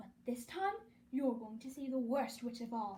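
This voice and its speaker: Using a put-on character voice, a woman speaks high-pitched at a moderate pace. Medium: read story.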